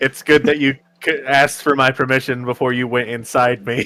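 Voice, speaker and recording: At a moderate pace and medium pitch, a man performs in a put-on character voice. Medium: actual play. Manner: polite, mild.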